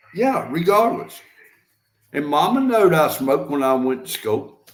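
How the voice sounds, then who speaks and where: A man with a Southern US accent, fairly high pitch, very wide pitch swings and a moderate pace. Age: 60s. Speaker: live-stream host. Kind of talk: casual chat. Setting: live stream.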